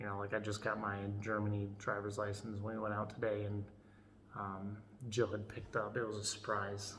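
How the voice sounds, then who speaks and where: The speaker has an American accent and a monotone, flat delivery. Noticeable background noise and audible room echo fill the recording. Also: man. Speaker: woodworking channel owner, soldier vlogging. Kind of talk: casual vlog. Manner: halting, many fillers.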